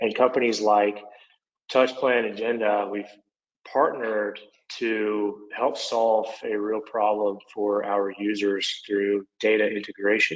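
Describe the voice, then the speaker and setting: In an Oklahoma accent, a man with a fairly low pitch talks at a very slow pace in a flat monotone. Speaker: construction software product manager. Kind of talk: webinar presentation. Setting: online webinar.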